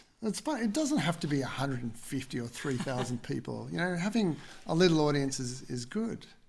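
Somewhat breathy and fairly high-pitched, a man speaks at a moderate pace with an Australian accent. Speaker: podcast co-host. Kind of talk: casual interview chat.

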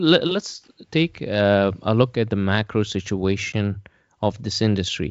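With ordinary pitch variation and a fairly slow pace, this is an ordinary speaking voice. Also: man, fairly low pitch for a man. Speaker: podcast host. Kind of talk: interview.

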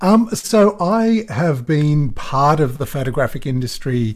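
A man's somewhat breathy, fairly high voice with an Australian accent, very wide pitch swings and a very slow pace. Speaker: photographer. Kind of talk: interview.

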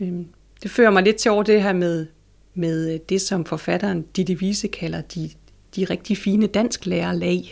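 In a very clean recording with a silent background, a woman speaks fairly slowly. Her medium-pitched voice shows vocal fry and fairly even intonation. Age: 40s. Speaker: library consultant and interviewer. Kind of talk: interview. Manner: hesitant, many fillers.

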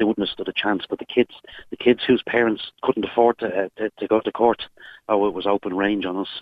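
A man with an Irish accent, fairly low-pitched, fairly quick and monotone with flat intonation. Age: 40s. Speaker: caller. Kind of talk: phone-in call, personal testimony. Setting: phone call from a vehicle.

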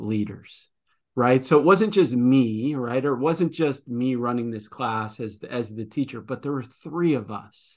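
The background is quiet as a man speaks at a medium pitch. He goes at a fairly slow pace, with ordinary pitch variation. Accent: Midwestern American. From US Midwest. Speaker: podcast host, former principal. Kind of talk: interview. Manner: halting, with many repetitions.

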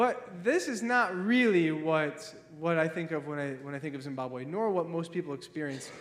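With an American accent, a man talks at a moderate pace in a fairly high pitch and lively intonation, over noticeable background noise. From Ohio. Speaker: missionary pastor. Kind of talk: sermon. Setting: church.

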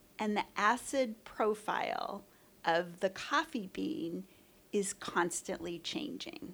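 A woman speaks at a very slow pace in a medium pitch. Her pitch swings very widely. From US West Coast, San Francisco Bay Area. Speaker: coffee roaster. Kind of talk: interview. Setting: roastery lobby.

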